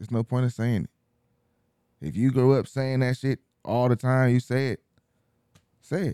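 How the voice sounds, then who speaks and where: A man in an American accent, with a dark, mellow tone, a moderate pace, long, frequent pauses, and a dry, close sound with no echo. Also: medium pitch for a man, ordinary pitch variation. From US, Mexican heritage. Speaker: podcast co-host. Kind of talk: casual chat.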